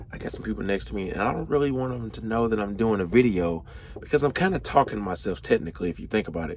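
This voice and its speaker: Talking at a very fast pace, a man's loudness swings widely. Background noise is noticeable. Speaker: truck driver vlogger. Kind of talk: casual vlog. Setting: at a delivery warehouse, others nearby.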